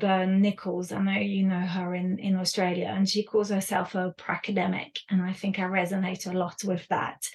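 Somewhat breathy speech in a monotone, flat intonation. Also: woman. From France and the UK. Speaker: education consultant and author. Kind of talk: interview conversation.

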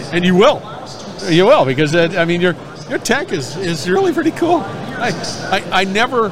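Lively intonation marks a man's high voice, heard with audible room echo and noticeable background noise. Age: old. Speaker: industry podcast host. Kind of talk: casual interview. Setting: trade show floor. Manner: animated.

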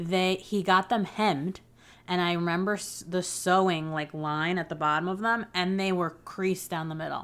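A woman talks in an ordinary speaking voice. Her pitch sits in the medium range. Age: 30s. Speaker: podcast host. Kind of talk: casual chat.

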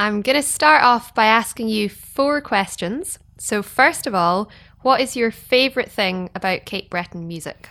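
A woman with a fairly high, bright and sharp voice, lively intonation, a fairly slow pace and hardly any pauses, on a very clean recording with a silent background. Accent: Scottish. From Scotland. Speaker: fiddle player and podcast host. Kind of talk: casual interview.

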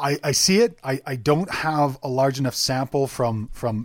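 A man speaks at a fairly slow pace with a medium-pitched voice. It's a plain, everyday voice, recorded very cleanly against a silent background. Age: 30s. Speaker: farmer and permaculture consultant. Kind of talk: interview.

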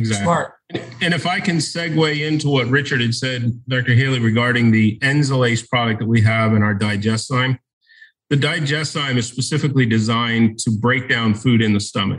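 A man with an unremarkable speaking voice and medium pitch talks at a fairly quick pace. His pitch varies in an ordinary way. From US, Baltimore. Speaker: enzyme company sales educator. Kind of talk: casual chat.

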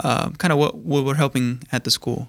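An ordinary speaking voice belongs to this man, pitched medium and moving at a moderate pace. His intonation is fairly even, and the recording is very clean with a silent background. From California, born in Mexico (Jalisco). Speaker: religious brother. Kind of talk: interview. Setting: studio.

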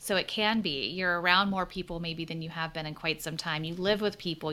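A woman speaks at a fairly quick pace in an American accent, her pitch fairly low and her intonation fairly even. The tone is bright and sharp, and the recording is very clean with a silent background. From US South. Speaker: clinical psychologist. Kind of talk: interview conversation.

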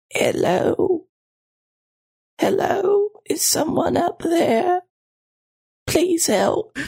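Put on as a character voice, this extremely high-pitched delivery crawls at a very slow pace with long, frequent pauses.

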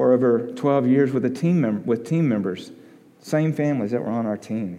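With an Alabama accent, a man talks with lively intonation, and audible room echo surrounds his voice. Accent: Southern US (Alabama). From US South, Alabama (Tuscaloosa). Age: 40s. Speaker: missionary. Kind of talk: sermon.

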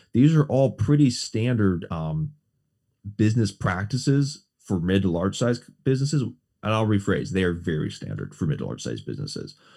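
A man's dark, mellow tone at fairly low pitch, with lively intonation and a moderate pace. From Southeast Wisconsin. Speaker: small business consultant and city council member. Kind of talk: podcast interview.

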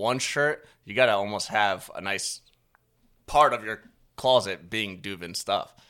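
A man talks at a fairly slow pace in an ordinary speaking voice, with ordinary pitch variation. The recording is very clean, with a silent background. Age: 30s. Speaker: podcast host. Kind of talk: casual interview.

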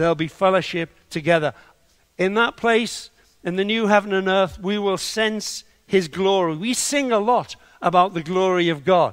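His pitch is high with ordinary variation. The man speaks at a moderate pace. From northern England, Liverpool. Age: 70s. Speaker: preacher and church leader. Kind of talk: sermon. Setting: online video call. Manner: loud.

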